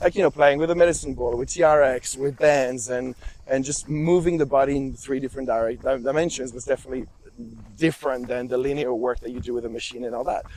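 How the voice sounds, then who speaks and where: A man with a French accent at a very fast pace, fairly even intonation, big swings in loudness, and noticeable background noise. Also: medium pitch for a man. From France. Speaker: movement instructor and personal trainer. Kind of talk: casual conversation. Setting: outdoors on a hike. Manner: halting, with fillers and repetitions.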